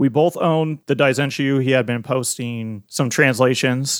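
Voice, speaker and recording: This man has a plain, everyday voice of medium pitch, caught on a very clean recording with a silent background. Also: dry, close sound with no echo. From US Midwest. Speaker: podcast co-host, fan site runner. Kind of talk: casual chat.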